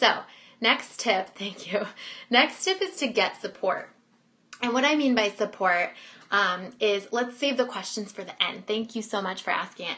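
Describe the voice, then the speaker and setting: Moderately paced, a woman with a fairly high pitch and ordinary pitch variation talks in an unremarkable speaking voice. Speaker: business coach. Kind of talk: webinar presentation.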